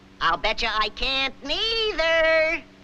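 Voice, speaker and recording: This cartoonish character voice is squeaky and high-pitched. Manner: brash, wisecracking.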